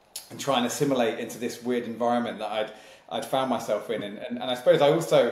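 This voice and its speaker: A man speaks at a very fast pace with fairly even intonation, amid audible room echo and noticeable background noise. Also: medium pitch for a man. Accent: British. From Malaysia and Singapore, then UK from age eight. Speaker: sales leadership consultant and company founder. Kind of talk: podcast interview.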